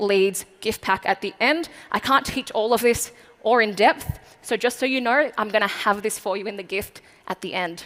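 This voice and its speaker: Her pitch is fairly high and varies in an ordinary way as the woman speaks with an Australian accent. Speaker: marketing speaker. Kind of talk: keynote speech. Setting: stage with audience. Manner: fast.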